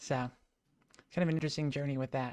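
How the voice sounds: A woman's extremely low-pitched, slightly mellow voice, fast and fairly even in intonation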